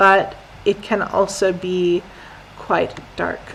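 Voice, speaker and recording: A woman with an American accent, noticeable background noise behind her. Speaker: English teacher. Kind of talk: lesson with reading aloud. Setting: live stream. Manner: slow, clear.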